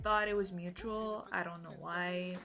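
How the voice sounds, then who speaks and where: With music in the background and audible room echo, a woman speaks in a Quebec accent. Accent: weird French Canadian accent in English. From Quebec, Canada. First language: French. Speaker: vlogger. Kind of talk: personal story vlog. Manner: animated, moving a lot; halting, many fillers.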